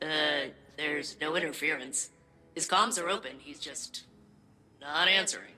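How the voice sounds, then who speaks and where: At a middle pitch, a put-on character voice moves at a moderate pace, broken by long, frequent pauses. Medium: video game. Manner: upbeat, perky.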